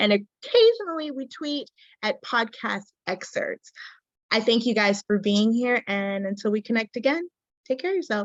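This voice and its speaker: Her voice is an unremarkable speaking voice, fairly high for a woman, with lively intonation and a moderate pace. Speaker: podcast host. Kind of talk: interview outro.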